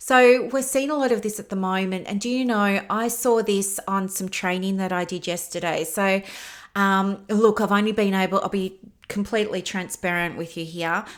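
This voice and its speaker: The recording is very clean, with a silent background. A woman speaks at a medium pitch with ordinary pitch variation. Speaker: business mentor for therapists. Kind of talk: solo educational talk. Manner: fast; casual, filler words.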